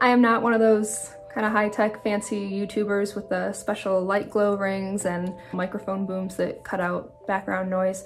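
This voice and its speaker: A woman talks at a moderate pace with faint music in the background. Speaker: outdoor vlogger. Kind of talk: casual vlog chat. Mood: apologetic, then serious. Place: home room. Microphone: phone near.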